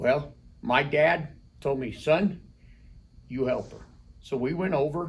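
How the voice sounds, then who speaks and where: Somewhat breathy, a man with an American accent speaks at a fairly high pitch. His pace is fairly slow, with ordinary pitch variation. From Colorado. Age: 60s. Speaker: rock shop owner. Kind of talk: casual interview.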